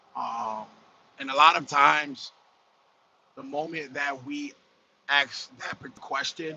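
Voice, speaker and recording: A man talks with monotone, flat intonation and long, frequent pauses. His loudness swings widely. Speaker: trucker. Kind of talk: casual livestream talk. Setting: in a truck while driving. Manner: speaking loudly to compensate. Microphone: phone recording.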